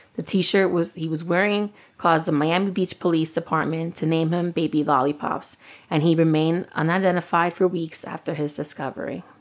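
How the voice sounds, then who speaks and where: A woman talks at a fairly quick pace with a fairly low pitch. Her intonation is fairly even, and the background is quiet. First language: Spanish. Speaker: true crime podcast co-host. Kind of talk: casual chat; reading a prepared case narrative.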